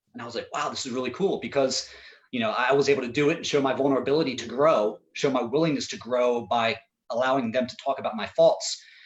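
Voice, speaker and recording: A man talks very fast at a medium pitch with ordinary pitch variation. His loudness swings widely. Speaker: mental training coach for professional baseball. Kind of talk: panel discussion.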